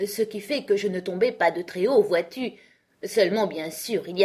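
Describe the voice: The clip is plain reading aloud. It is delivered as a straightforward read.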